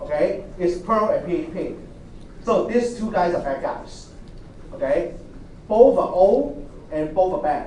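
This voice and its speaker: A man speaks at a fairly slow pace with long, frequent pauses, a high pitch and lively intonation. Room echo can be heard, along with noticeable background noise. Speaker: university lecturer. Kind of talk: lecture.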